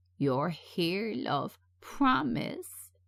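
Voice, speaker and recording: This is a put-on character voice at a middle pitch. It growls throughout. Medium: read story. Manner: rambling, calls everyone love.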